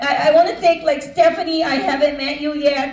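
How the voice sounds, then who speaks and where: With audible room echo and noticeable background noise, a woman talks at a fairly quick pace with fairly even intonation. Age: 60s. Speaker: financial business owner and speaker. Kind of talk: motivational talk.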